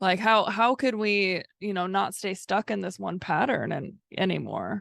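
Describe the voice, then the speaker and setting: Over a quiet background, a woman with vocal fry speaks at medium pitch, fairly slowly and with fairly even intonation. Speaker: podcast co-host, therapist-like coach. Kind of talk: casual chat.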